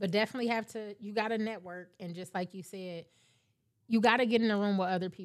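Fairly even intonation marks an ordinary speaking voice, captured in a very clean recording with a silent background. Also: woman. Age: 40s. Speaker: tax business owner. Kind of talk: casual chat.

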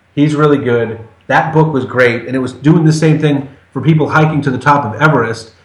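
Somewhat breathy and fairly high-pitched, a man with an American accent speaks at a fairly quick pace with fairly even intonation, with audible room echo around him. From Massachusetts. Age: 40s. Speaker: podcast guest. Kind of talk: casual chat.

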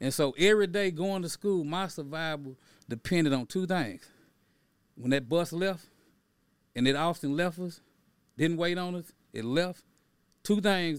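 Someone with an American accent speaks at a moderate pace with ordinary pitch variation and long, frequent pauses. The recording is very clean with a silent background. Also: man. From Texas, East Dallas. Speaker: activist and author. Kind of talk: interview.

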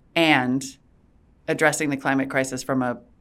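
A woman's very deep, low voice with an American accent, at a moderate pace, in a very clean recording with a silent background. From Montana and North Dakota, US. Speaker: venture capitalist and former tech journalist. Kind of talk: casual interview chat. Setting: in-person studio. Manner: animated.

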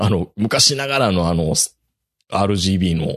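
With an unremarkable speaking voice, a man speaks at a fairly low pitch and with lively intonation. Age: middle-aged. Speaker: podcast host. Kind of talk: casual chat. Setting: video call.

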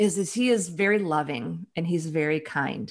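A woman with a plain, everyday voice, fairly low in pitch with ordinary pitch variation, speaks against a quiet background. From US Midwest, Chicago. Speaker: author and leadership advisor. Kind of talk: interview.

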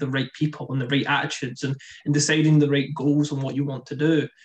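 A man speaks at a moderate pace in a fairly high, somewhat breathy voice. His intonation stays fairly even. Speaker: startup founder, guest. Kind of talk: casual interview chat. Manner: hesitant, repeats words.

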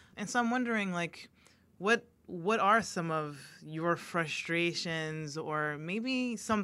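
A woman's fairly low, normal speaking voice carries lively intonation in a very clean recording over a silent background. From US, Haitian American. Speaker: podcast host and licensed counselor. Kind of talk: scripted podcast intro; casual interview conversation.

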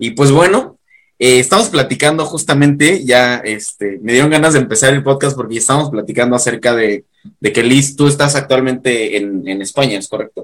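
This man's voice sits at a medium pitch with ordinary pitch variation. He keeps a moderate pace. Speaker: podcast host. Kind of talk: casual interview. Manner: halting, repeats words.

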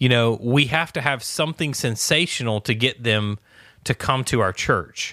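At a moderate pace and very even loudness, a bright, sharp voice with ordinary pitch variation comes through dry and close with no echo on a very clean recording with a silent background. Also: man, medium pitch for a man. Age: 30s. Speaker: podcast co-host. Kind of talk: casual chat.

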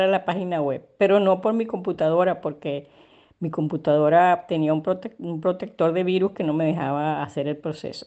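Against a quiet background, a woman with a Caracas accent speaks in a dark, mellow tone. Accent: Venezuelan Spanish (Caracas). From Venezuela, Caracas. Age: 70s. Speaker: retired chemical engineer and consultant, migrant. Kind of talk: interview testimony. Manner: hesitant, many fillers.

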